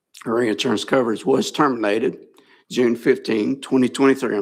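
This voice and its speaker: A raspy, put-on character voice moves at a fairly quick pace. The recording is very clean, with a silent background. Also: man, medium pitch for a man. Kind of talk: formal, reading from records.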